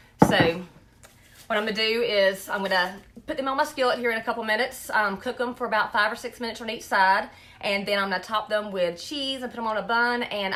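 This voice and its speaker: In a Southern US accent, a woman talks at a fairly quick pace with a fairly high pitch. Noticeable background noise can be heard. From North Carolina. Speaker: food blogger. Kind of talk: live cooking demonstration. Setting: live stream. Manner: casual, chatty.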